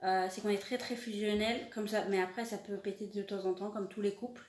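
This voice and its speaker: Her intonation is monotone and flat, and this woman speaks at a medium pitch. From France (Paris). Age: 20s. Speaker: animal vlogger. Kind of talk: casual self-introduction vlog. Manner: halting, many hesitations; searching for words, repetitive.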